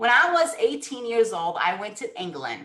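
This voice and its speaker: A woman with a Brazilian Portuguese accent speaks at a fairly high pitch with very wide pitch swings. Her tone is bright and sharp, and audible room echo surrounds it. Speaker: sales coach. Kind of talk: webinar talk.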